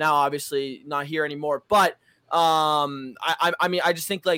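The recording is very clean with a silent background and a dry, close sound with no echo. A man with a fairly high pitch speaks at a moderate pace with ordinary pitch variation. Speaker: competitive gamer. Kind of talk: casual chat. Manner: animated.

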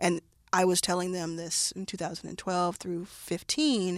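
This is an ordinary speaking voice from a woman with an American accent, pitched fairly low, with fairly even intonation at a moderate pace. The recording is very clean, with a silent background. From Texas, Dallas. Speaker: venture capitalist. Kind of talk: interview.

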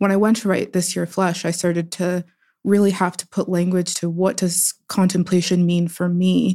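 An American accent in a dark, mellow tone, delivered at a moderate pace with flat, monotone intonation. The recording is very clean, with a silent background. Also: woman. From US, Pittsburgh. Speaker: writer and poet. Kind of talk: interview conversation.

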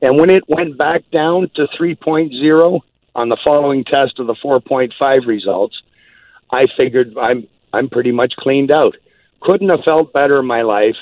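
This man has an unremarkable speaking voice, medium in pitch, moving at a fairly slow pace with ordinary pitch variation. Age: 60s. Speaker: company spokesperson. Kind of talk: interview telling personal story.

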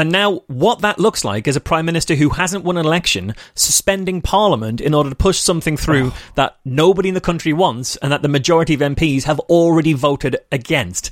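In a Merseyside accent, the speech runs with hardly any pauses, very even loudness and ordinary pitch variation. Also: man, fairly high pitch for a man, fairly quick pace, dry, close sound with no echo. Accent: northern English (Merseyside). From northern England. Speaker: skeptic activist and podcaster. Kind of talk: casual chat. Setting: call.

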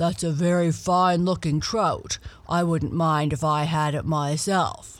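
A put-on character voice at a middle pitch rumbles along at a fairly slow pace.

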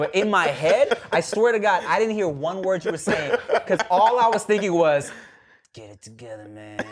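A man talks at a moderate pace in a high voice with lively intonation and big swings in loudness. Noticeable background noise is present. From Thai heritage. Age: 30s. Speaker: podcast host. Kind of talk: casual chat.

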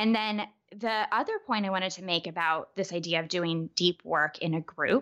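The recording is very clean, with a silent background. A woman speaks at medium pitch with ordinary pitch variation. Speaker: life coach. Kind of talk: casual interview chat. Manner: fast talker; animated.

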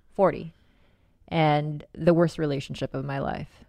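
This woman speaks with a very deep, low pitch. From Philippines. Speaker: podcast co-host. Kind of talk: casual chat.

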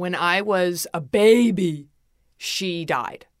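A woman talks with ordinary pitch variation. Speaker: beauty podcaster. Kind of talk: casual chat.

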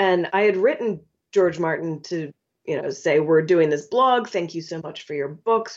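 A woman with an unremarkable speaking voice talks at a moderate pace, her pitch fairly low. Her pitch variation is ordinary. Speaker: chef and cookbook author.

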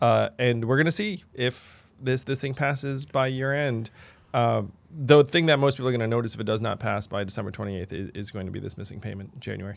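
It is a normal speaking voice. A man talks at a fairly quick pace with ordinary pitch variation. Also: medium pitch for a man. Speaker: podcast host. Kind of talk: casual chat. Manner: casual, filler-heavy.

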